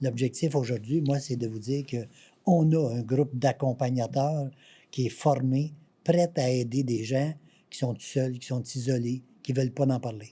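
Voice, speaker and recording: A man with a Quebec accent speaks at a medium pitch and a fairly slow pace, his tone dark and mellow and somewhat breathy. His intonation is fairly even, and the recording is very clean with a silent background. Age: 70s. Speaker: patient association president. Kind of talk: interview.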